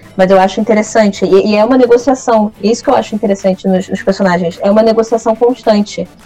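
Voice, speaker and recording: Over noticeable background noise, a woman rattles off words at a very fast pace in a fairly high pitch with fairly even intonation. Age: 20s. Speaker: writer and creative writing teacher. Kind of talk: casual interview.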